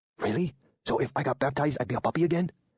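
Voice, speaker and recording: Using a put-on character voice, a man talks at a very fast pace with fairly high pitch. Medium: read story. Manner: eager, playful.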